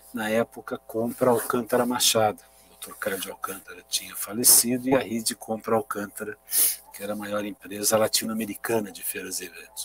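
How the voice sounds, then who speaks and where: Speaking at a fairly quick pace, a man's loudness swings widely, on a dry, close recording with no echo but noticeable background noise. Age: 60s. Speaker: aviation industry association executive. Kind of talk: interview.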